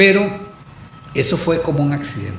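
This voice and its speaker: There is noticeable background noise and audible room echo. A man talks with ordinary pitch variation. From Costa Rica, Santo Domingo de Heredia. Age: 70s. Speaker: historian and university professor. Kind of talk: casual chat. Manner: halting.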